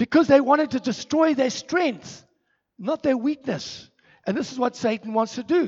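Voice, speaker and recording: Here a man speaks at an extremely high pitch with a passionate tone and ordinary pitch variation. His moderate pace comes through as a dry, close sound with no echo. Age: 60s. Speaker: ministry director and preacher. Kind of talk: sermon. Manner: halting.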